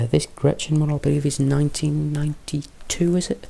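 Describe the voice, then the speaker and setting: A man speaks at a moderate pace in a somewhat breathy voice. His pitch is fairly high. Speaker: miniature painting youtuber. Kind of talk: tutorial. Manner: casual, chatty.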